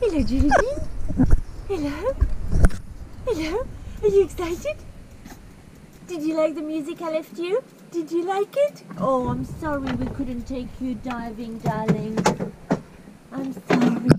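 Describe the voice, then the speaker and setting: A woman at a fairly slow pace with long, frequent pauses over loud background noise. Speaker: sailing vlogger. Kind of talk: baby talk to a pet. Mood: affectionate, cooing. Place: boat. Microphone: phone near.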